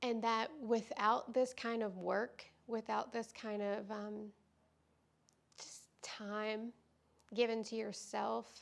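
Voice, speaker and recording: A woman speaks at a very slow pace with long, frequent pauses. Her fairly high voice stays monotone and flat. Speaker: yoga teacher. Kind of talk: vlog talk to camera.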